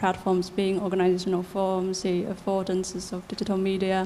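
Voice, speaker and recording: Audible room echo surrounds a woman with a medium-pitched voice who talks at a fairly quick pace. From China. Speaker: researcher, audience member. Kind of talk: audience question at conference. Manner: quiet.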